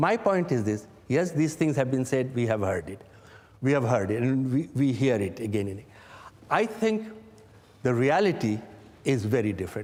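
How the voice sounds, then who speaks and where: A man speaks at a moderate pace with a medium pitch and very wide pitch swings. Long, frequent pauses run through his speech. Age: 70s. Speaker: government advisor. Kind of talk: interview. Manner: halting.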